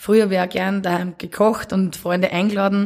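A woman talks at a fairly quick pace, her pitch medium. Her intonation stays monotone and flat. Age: 30s. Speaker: café and bar owner. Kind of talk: casual interview.

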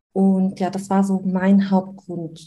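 A woman talks at a very slow pace in a dark, mellow, somewhat breathy voice. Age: 30s. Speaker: newborn photographer and coach. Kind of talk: interview. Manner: hesitant, filler-heavy.

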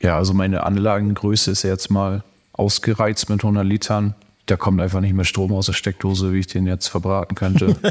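Talking at a fairly quick pace, a man keeps a fairly low pitch and monotone, flat intonation. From northern Germany, Lower Saxony (Cloppenburg). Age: 30s. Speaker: homebrewer and chemical engineer. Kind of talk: casual interview.

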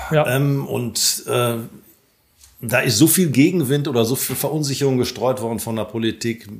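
A man's medium-pitched, unremarkable speaking voice, its pitch varying in an ordinary way. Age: 50s. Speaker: solar company owner. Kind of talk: interview.

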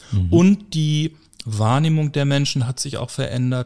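With a dark, mellow tone, a man talks at a moderate pace and with lively intonation. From Hamburg, northern Germany. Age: 40s. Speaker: funeral director. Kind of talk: interview conversation.

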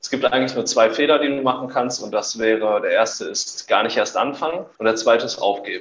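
Barely pausing, the man talks at a fairly quick pace. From Germany, Hesse (Wetzlar), raised in Essen. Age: 20s. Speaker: fitness coach. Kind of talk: casual interview.

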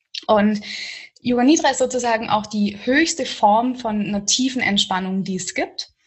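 Somewhat breathy and fairly high-pitched, a woman talks at a moderate pace with lively intonation. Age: 20s. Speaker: yoga teacher. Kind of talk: interview conversation.

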